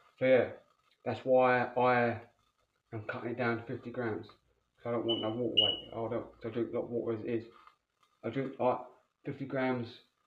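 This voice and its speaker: A man talks in a flat monotone, with audible echo from the room. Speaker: fitness vlogger. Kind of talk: casual vlog chat. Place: kitchen. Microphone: phone near.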